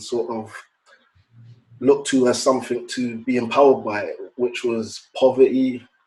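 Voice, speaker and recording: A man with a London accent and a medium-pitched voice speaks at a fairly slow pace. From London, England. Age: 30s. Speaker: podcast guest. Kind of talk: casual chat.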